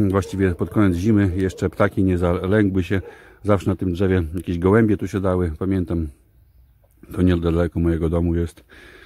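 A man talks at a moderate pace in a very deep, low voice with a dark, mellow tone and fairly even intonation. The sound is dry with no echo, and the background is quiet. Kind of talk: casual vlog chat. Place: garden. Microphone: phone near.

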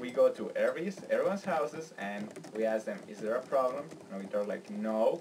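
Speech moves at a fairly quick pace against noticeable background noise. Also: man. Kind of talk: casual comedic skit dialogue. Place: home room. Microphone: webcam.

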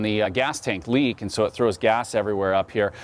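The man's speech moves at a very fast pace. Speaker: presenter. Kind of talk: product walkthrough presentation. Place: street.

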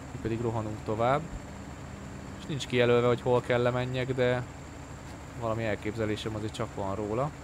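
Fairly quick speech with long, frequent pauses, fairly even intonation, and noticeable background noise. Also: man, medium pitch for a man. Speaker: gaming streamer. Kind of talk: live gameplay commentary. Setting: home stream. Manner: casual, rambling with frequent repetitions.

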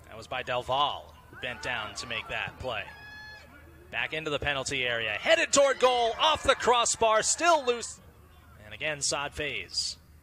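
A man's loudness swings a lot at a moderate pace, with noticeable background noise behind him. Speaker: play-by-play commentator. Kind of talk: live sports commentary, play-by-play over game highlights.

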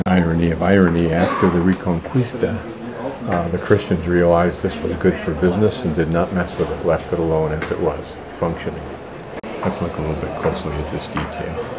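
Fairly even intonation at a fairly quick pace, with clear background noise. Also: man, low pitch for a man.

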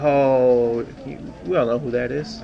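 A man speaks at a medium pitch and a fairly slow pace with vocal fry and fairly even intonation. Faint background noise can be heard.

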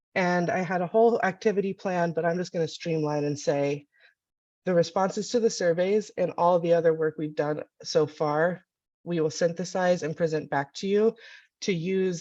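A woman with an unremarkable speaking voice talks at a moderate pace with fairly low pitch and fairly even intonation against a quiet background. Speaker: network meeting facilitator. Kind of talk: online meeting presentation.

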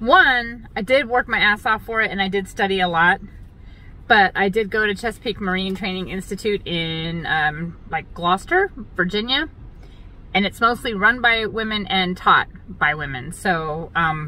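A woman at a moderate pace, in dry sound with no echo. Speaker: boat captain vlogger. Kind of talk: casual vlog chat. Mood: chatty, wry, self-mocking. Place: car. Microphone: phone near.

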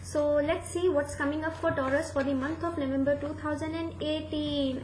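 Audible room echo and light background noise surround the recording. A woman speaks at a fairly slow pace. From India. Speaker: tarot reader. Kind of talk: tarot reading monologue. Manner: halting, many fillers. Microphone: webcam.

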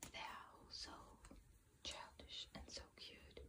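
Whispering, a woman goes at a very slow pace. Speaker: ASMR creator. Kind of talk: ASMR video. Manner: whispered. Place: home room. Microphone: phone near.

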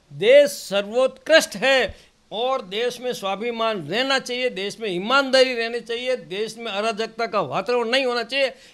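On a very clean recording with a silent background, a man speaks at an extremely high pitch. He shows ordinary pitch variation and hardly any pauses. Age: 70s. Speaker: senior politician, former assembly speaker. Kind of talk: interview. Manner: animated.

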